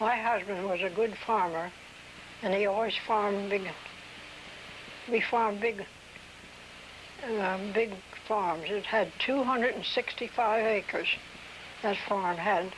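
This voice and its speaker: The speaker, with a rural Delaware accent, talks at a fairly slow pace with fairly even intonation and long, frequent pauses. Noticeable background noise runs underneath. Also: woman, medium pitch for a woman. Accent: rural Delaware American. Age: 80s+. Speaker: oral history interviewee. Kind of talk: oral history interview. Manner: halting.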